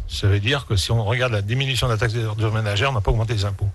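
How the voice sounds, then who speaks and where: With a somewhat breathy voice, a man talks at a medium pitch. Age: 60s. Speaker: mayor. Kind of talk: radio interview. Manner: hesitant, many fillers.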